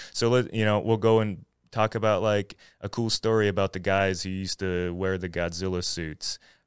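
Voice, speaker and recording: In an American accent, a man talks at a moderate pace with fairly even intonation and a fairly low pitch, an ordinary speaking voice. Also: very clean recording, silent background. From Floyd, southwest Virginia. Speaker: YouTuber and video essay writer. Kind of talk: casual interview chat.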